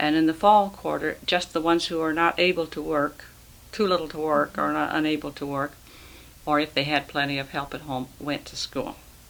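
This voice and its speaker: A woman with an American accent speaks at a fairly quick pace, her very deep, low pitch carrying fairly even intonation. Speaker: retired schoolteacher. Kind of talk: oral history interview. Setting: at home.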